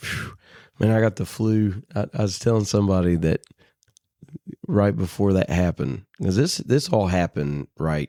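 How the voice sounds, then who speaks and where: A man talks at a moderate pace with a fairly low pitch and a dark, mellow tone, his pitch varying in an ordinary way. The recording is very clean and dry, close and echo-free, over a silent background. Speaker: church minister. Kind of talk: casual chat.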